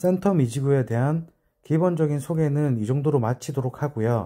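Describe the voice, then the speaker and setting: On a very clean recording with a silent background, a man with a dark, mellow tone speaks at a medium pitch with lively intonation. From Busan, South Korea. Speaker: real estate agent. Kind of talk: explainer video. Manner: deliberate, careful enunciation.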